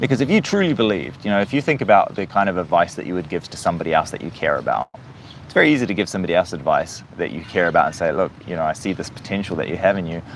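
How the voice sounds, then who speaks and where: A man talks very fast in a very deep, low pitch, his intonation lively. Background noise is noticeable. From New Zealand. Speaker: live streamer, motivational speaker. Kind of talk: livestream monologue, motivational talk. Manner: casual, with many fillers and restarts.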